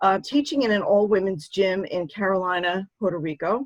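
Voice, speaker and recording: A woman speaks in a plain, everyday voice at a medium pitch and a moderate pace. The sound is dry and close, with no echo. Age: 60s. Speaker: show host and author. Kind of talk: interview.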